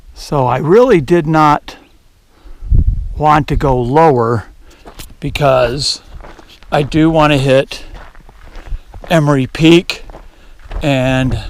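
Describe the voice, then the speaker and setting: With an American accent and a fairly high pitch, a man speaks over noticeable background noise. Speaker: hiker vlogger. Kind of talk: casual vlog narration. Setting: outdoors on a mountain trail. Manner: conversational, hesitant fillers.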